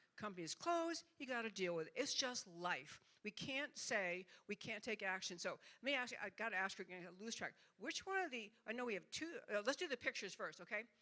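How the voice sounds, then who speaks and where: A woman's bright, sharp voice, fairly high in pitch, with very wide pitch swings and a fairly quick pace. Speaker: club meeting speaker. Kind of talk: informal presentation with slides. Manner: fast.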